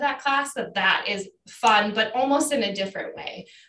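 A woman speaks with an Upper Midwest accent. Her pace is moderate and her pitch variation ordinary. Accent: Upper Midwest American. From Wisconsin, La Crosse area. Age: 40s. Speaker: fitness instructor and county clerk of court. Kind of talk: casual interview chat.

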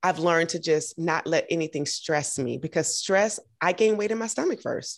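Recorded very cleanly against a silent background, a woman with an American accent speaks in an unremarkable speaking voice at medium pitch, with lively intonation and a moderate pace. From US South, Augusta, Georgia. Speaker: podcast host, model and triathlete. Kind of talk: casual interview chat.

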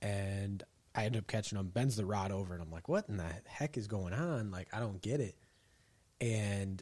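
Recorded very cleanly against a silent background, a man with an American accent speaks in a normal speaking voice at a fairly low pitch, with ordinary pitch variation and a moderate pace. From Michigan. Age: 20s. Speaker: angler, kayak fisherman. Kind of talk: casual chat. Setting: garage.

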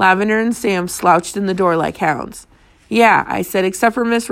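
Reading in a natural voice

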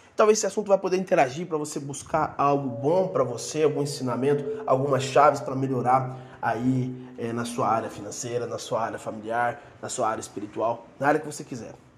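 Music plays behind a man who talks fairly quickly. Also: fairly high pitch for a man, ordinary pitch variation. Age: 30s. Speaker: podcast host, former missionary. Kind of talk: casual solo podcast introduction. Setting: recording alone.

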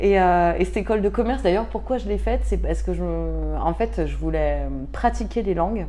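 The pace here is moderate. A woman is talking with audible room echo around her. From France, Tarn. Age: 30s. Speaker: association founder. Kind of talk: interview. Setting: at her home. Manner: halting, many fillers.

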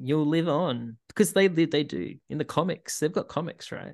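A man in an Australian accent, with lively intonation. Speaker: sports podcast host. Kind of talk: casual chat.

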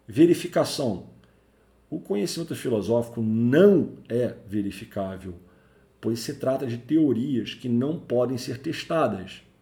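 This man's medium-pitched voice has a dark, mellow tone and is somewhat breathy, with lively intonation at a fairly slow pace. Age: 40s. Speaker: IT career podcaster, network engineer. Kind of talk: solo educational podcast monologue. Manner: conversational, with fillers.

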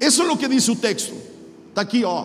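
A man with a strong Chilean accent talks at an extremely high pitch. Noticeable background noise and audible room echo surround him. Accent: thick Chilean Spanish accent in Portuguese. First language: Spanish (speaking Portuguese). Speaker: pastor. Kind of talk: sermon.

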